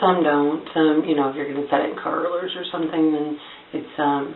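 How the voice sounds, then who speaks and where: The speaker is soft-spoken, with monotone, flat intonation. Noticeable background noise and audible room echo fill the recording. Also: woman. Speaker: beauty vlogger. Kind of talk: tutorial. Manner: casual, filler-heavy.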